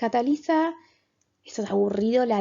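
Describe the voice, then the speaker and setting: A woman speaks with lively intonation. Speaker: biologist and mental health educator. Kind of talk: lecture. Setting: presenting slides. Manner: stammering, halting.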